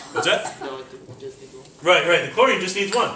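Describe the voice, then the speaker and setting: A man is speaking in a room with audible echo. Noticeable background noise is also present. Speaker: chemistry teacher. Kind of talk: classroom lecture. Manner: animated.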